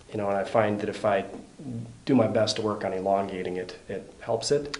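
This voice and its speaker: A man with a fairly low pitch, against noticeable background noise. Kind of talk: casual interview answer about treatment experience.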